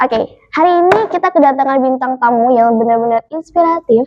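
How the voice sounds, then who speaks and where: The speech moves at a fairly quick pace with very even loudness. Music plays in the background. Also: woman, high pitch for a woman, lively intonation. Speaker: podcast host. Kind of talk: podcast interview host.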